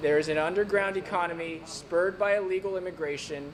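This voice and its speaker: A man with an American accent talks at a fairly quick pace with ordinary pitch variation over noticeable background noise. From Virginia. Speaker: congressional candidate. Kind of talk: candidate forum. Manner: halting.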